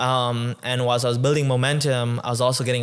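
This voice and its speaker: A man speaks at a medium pitch and a fairly quick pace. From Tanzania. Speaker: nonprofit founder and tech entrepreneur. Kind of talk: interview conversation.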